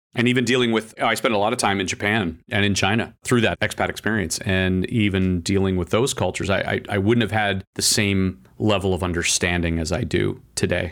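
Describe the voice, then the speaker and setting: A man's fairly low voice with fairly even intonation and very even loudness, on a very clean recording with a silent background. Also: fairly quick pace, hardly any pauses. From Canada. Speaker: automotive trade publisher and journalist. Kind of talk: interview.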